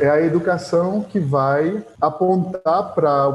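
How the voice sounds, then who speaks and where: A man talks in a dark, mellow tone that is somewhat breathy. His intonation stays fairly even. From Pernambuco, Brazil (Agreste, São Vicente Ferrer). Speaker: historian and heritage researcher. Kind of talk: interview.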